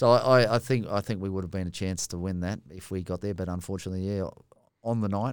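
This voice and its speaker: Someone with an Australian accent talks at a very fast pace with fairly even intonation. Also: man. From Australia, rural New South Wales. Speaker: former rugby player, firefighter. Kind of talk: casual chat. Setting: studio.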